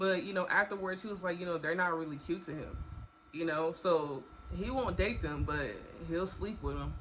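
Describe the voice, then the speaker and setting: A woman speaks at a moderate pace. Room echo is audible, along with noticeable background noise. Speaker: storytime vlogger. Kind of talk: casual storytelling monologue.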